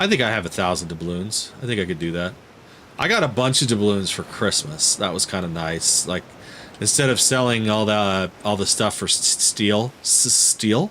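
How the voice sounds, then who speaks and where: A man speaks with a fairly low pitch and ordinary pitch variation. Noticeable background noise is present. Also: moderate pace. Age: 40s. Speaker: gaming streamer. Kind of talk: live stream gameplay commentary. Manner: casual, halting with fillers.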